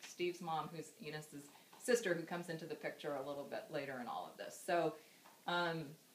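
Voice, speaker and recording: A woman with an American accent, fairly low pitch and a very fast pace, over noticeable background noise. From California, US. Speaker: daughter giving a memorial speech. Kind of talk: eulogy. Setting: memorial gathering with audience. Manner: halting.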